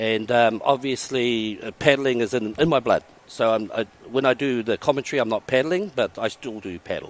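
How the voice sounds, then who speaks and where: Speaking with a New Zealand accent, a man at medium pitch keeps a moderate pace and ordinary pitch variation in a dry, close sound with no echo. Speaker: race commentator. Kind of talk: casual interview.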